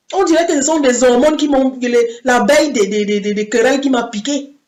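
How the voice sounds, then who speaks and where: Amid audible room echo, a woman speaks at a moderate pace with very wide pitch swings. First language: English (speaking French). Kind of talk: sermon. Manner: halting.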